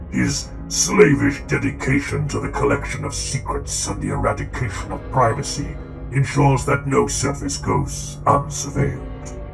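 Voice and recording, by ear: Over clear background music, a man uses a put-on character voice, fairly low in pitch with very wide pitch swings and vocal fry, moving at a fairly slow pace.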